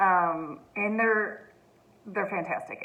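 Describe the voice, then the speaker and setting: A woman's voice with audible room echo. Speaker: teacher reading aloud to families. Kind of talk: casual chat. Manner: fast.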